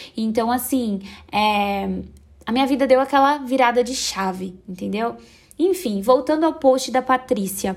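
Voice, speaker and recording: Ordinary pitch variation marks this woman's high voice. She speaks at a fairly slow pace. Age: 20s. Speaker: podcaster. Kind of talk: personal monologue podcast. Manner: casual, chatty.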